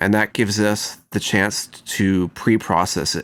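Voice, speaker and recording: A man at a fairly slow pace on a very clean recording with a silent background. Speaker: mixing engineer teaching audio production. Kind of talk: tutorial. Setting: recording studio.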